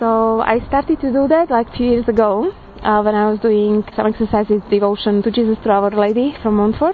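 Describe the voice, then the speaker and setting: With a Slovak accent, a woman talks at a fairly quick pace and fairly high pitch. Her loudness stays very even, with ordinary pitch variation. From Slovakia. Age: 30s. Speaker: churchgoer giving a personal faith reflection. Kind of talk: testimony. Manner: halting.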